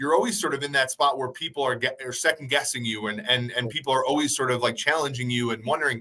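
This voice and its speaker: This man's voice is loud with a bright, sharp tone. His pitch varies in an ordinary way. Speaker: sports analyst podcast host. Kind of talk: casual chat. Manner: halting, many repeated words.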